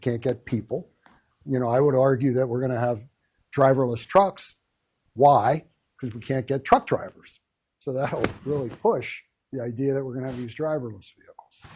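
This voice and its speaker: This man's voice is somewhat breathy, with fairly even intonation and long, frequent pauses. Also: medium pitch for a man, moderate pace. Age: 70s. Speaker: wealth manager. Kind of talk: lecture. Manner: conversational, with fillers.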